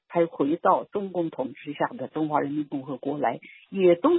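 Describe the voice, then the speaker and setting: A woman speaks at a moderate pace, her pitch swinging very widely up and down. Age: 80s+. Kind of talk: interview.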